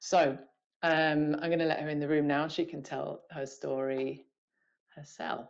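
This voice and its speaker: A woman's very deep, low voice in a British accent, monotone and flat, at a fairly slow pace. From UK. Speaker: podcast host. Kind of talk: interview intro. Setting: video call.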